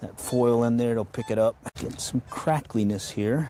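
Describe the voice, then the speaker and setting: With an American accent, a man speaks fairly slowly at a medium pitch with ordinary pitch variation in an ordinary speaking voice. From Texas. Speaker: metal detecting streamer. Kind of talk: live stream commentary while detecting. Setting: outdoors in a park, light rain. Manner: casual, talking to himself.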